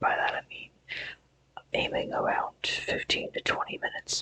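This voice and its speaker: Someone is whispering at a moderate pace. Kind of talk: ASMR trigger sounds, casual talk to camera. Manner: whispered, soft-spoken.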